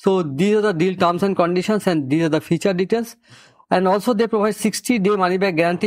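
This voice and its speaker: Over a quiet background, a man speaks very fast in a high pitch with ordinary pitch variation. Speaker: software reviewer. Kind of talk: tutorial.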